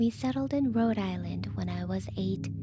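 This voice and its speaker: With music in the background, a woman with a very deep, low pitch talks at a moderate pace. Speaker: VTuber. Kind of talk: scary story narration.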